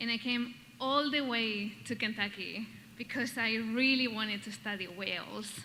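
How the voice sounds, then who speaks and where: A woman with a Basque Spanish accent and a fairly high pitch speaks with fairly even intonation amid audible room echo. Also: moderate pace. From Basque Country, Spain. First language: Spanish or Basque. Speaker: doctoral graduate, award recipient. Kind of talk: acceptance speech. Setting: stage with audience.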